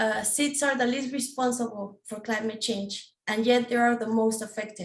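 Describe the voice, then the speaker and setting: A woman with a non-native accent speaks at a moderate pace in a fairly high pitch, her intonation fairly even. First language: not English. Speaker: PhD researcher. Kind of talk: panel presentation. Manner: halting, many fillers.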